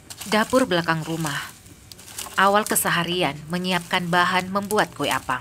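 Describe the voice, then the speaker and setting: Against noticeable background noise, a woman speaks with a fairly low pitch and ordinary pitch variation. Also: moderate pace. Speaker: documentary narrator. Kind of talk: TV documentary narration.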